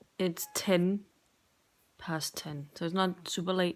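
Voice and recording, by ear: Her pitch is fairly low for a woman, her intonation fairly even, and she speaks at a slow pace.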